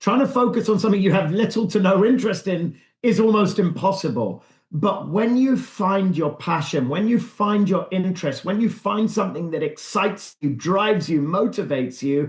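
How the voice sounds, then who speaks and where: A man with a British accent speaks at a high pitch with lively intonation and very even loudness, barely pausing. The background is quiet. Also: moderate pace. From England. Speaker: real estate broker. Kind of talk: interview answer. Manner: calm, confident.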